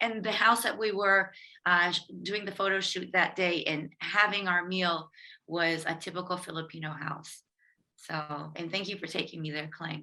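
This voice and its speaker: Speaking at a moderate pace, a woman with a fairly low pitch has a bright, sharp tone and fairly even intonation. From Philippines, Pampanga. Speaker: cookbook author and chef. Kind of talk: webinar presentation.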